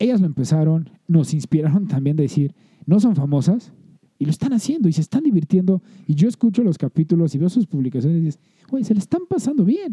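Talking at a very fast pace, a man with a Mexican accent uses a high pitch and lively intonation. His tone is dark and mellow, and the sound is dry and close with no echo. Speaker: podcast co-host. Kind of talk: casual chat.

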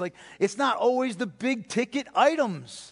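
With an American accent, a man is speaking. His pitch swings very widely. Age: 50s. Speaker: pastor. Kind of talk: sermon.

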